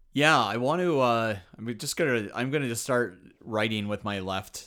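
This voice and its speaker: A man with a Canadian accent in a plain, everyday voice, medium in pitch with ordinary pitch variation, on a very clean recording with a silent background. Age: 40s. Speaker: comedian. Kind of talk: casual chat.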